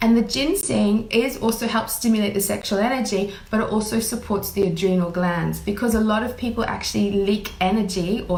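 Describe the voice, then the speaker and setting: A woman at medium pitch and a fairly quick pace, fairly even in intonation, with hardly any pauses, audible room echo and noticeable background noise. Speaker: intuitive healer. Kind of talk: live stream talk. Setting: Facebook live.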